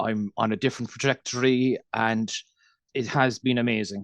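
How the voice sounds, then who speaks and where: A man speaks in a Cork accent with monotone, flat intonation at medium pitch. The sound is dry and close with no echo, and the background is quiet. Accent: Irish, Cork. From Ireland, Cork. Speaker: dairy farmer. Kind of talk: podcast interview. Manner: fast.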